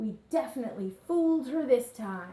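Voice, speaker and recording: A woman puts on a character voice, pitched high with very wide swings. She keeps a moderate pace. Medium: read story.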